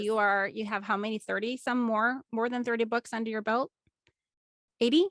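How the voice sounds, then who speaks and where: With a normal speaking voice, a woman speaks at a moderate pace and fairly high pitch, her intonation fairly even, in a dry, close sound with no echo and a quiet background. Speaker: podcast host. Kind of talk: podcast interview questions.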